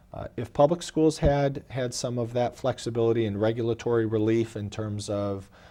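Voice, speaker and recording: A man with a dark, mellow tone talks at a moderate pace and medium pitch, with ordinary pitch variation and hardly any pauses. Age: 30s. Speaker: school superintendent. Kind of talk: interview answer.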